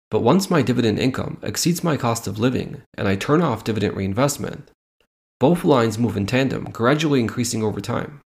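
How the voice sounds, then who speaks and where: The speech is fairly quick and somewhat breathy, with lively intonation. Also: man, medium pitch for a man. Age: 30s. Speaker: dividend investing podcaster. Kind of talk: tutorial.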